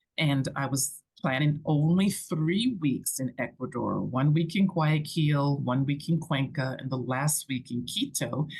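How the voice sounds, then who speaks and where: A woman with a very deep, low pitch and ordinary pitch variation. Her voice is somewhat breathy and her pace fairly slow. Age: 60s. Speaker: digital nomad and business owner. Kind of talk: casual chat.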